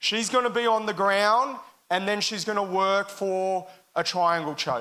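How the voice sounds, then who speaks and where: On a very clean recording with a silent background, a man with a high voice speaks in a raised, projected voice with a bright, sharp tone, ordinary pitch variation and a moderate pace. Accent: Australian. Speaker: jiu-jitsu parent demonstrating. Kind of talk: live demonstration commentary.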